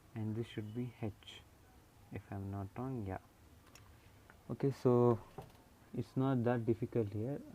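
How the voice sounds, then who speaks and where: In an Indian accent, a man speaks at a fairly slow pace with long, frequent pauses, his medium-pitched voice dark and mellow in tone with fairly even intonation. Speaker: engineering drawing tutor. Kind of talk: tutorial.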